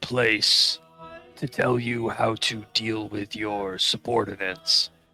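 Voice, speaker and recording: A man puts on a raspy character voice at a medium pitch. Faint music plays in the background. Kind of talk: formal in-character speech. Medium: actual play. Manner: hesitant, polite.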